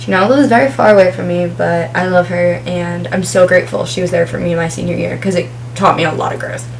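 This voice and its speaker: A woman in an American accent talks at a fairly quick pace amid noticeable background noise and audible room echo. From New Jersey. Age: 20s. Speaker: vlogger. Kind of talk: casual chat. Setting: home, filming with ring light.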